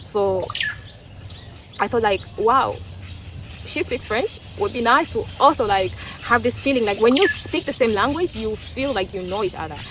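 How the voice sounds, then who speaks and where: Amid noticeable background noise, a woman with an East African accent speaks at a moderate pace, with long, frequent pauses. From Tanzania. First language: Swahili. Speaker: vlogger. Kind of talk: casual opinion monologue. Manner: halting, with many restarts.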